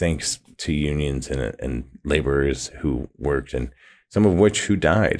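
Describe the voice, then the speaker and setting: Vocal fry at a moderate pace on a very clean recording with a silent background. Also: man. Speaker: podcast host. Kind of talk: podcast monologue intro. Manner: hesitant, many fillers and restarts; mouth clicks.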